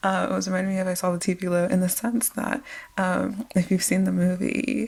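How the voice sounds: Soft-spoken with vocal fry, a woman speaks at a fairly low pitch in a slightly mellow tone.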